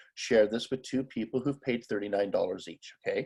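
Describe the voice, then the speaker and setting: A man speaks at a fairly quick pace. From Canada. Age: 40s. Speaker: business opportunity presenter. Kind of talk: sales pitch. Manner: fast.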